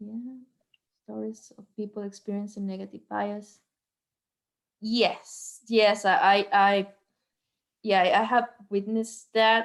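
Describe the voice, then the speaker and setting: In a strong Venezuelan accent, a woman speaks very slowly at medium pitch in a flat monotone, with long, frequent pauses and big swings in loudness. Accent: heavy Venezuelan Spanish. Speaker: medical doctor. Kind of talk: guest talk on video call.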